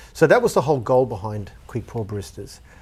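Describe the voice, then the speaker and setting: A man with an Australian accent is heard in a very clean recording against a silent background. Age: 40s. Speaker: former cafe owner and studio owner. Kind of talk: casual interview.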